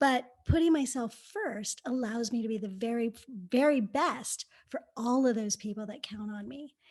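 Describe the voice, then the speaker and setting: A woman's fairly high voice, an ordinary speaking voice, at a moderate pace with hardly any pauses, ordinary pitch variation and big swings in loudness. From Napa, California. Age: 50s. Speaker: author, real estate investor. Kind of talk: interview.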